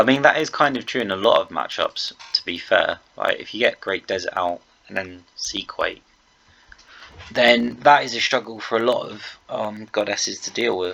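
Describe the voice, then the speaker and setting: A quiet man's voice at a moderate pace, with big swings in loudness and noticeable background noise. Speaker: video game commentator. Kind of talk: gameplay commentary. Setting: at home late at night. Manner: quiet, held down for neighbours.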